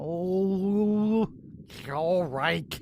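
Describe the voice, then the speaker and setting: A put-on character voice, female-sounding at a middle pitch, over clear background noise. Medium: audio drama. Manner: goofy, whiny.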